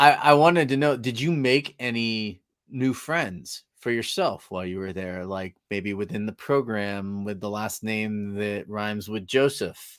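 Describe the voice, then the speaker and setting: In an American accent and a plain, everyday voice, a man speaks at a fairly slow pace with hardly any pauses, his pitch fairly low and its variation ordinary. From northern California. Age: 40s. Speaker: podcast host. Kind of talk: casual chat.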